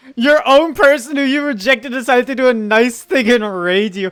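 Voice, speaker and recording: Recorded very cleanly against a silent background, a woman speaks at a moderate pace with a high pitch. Her tone is animated, and her pitch swings very widely. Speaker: streamer. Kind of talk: casual chat. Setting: live stream.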